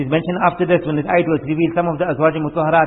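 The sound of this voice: His voice is fairly high for a man, with fairly even intonation and a slightly husky edge.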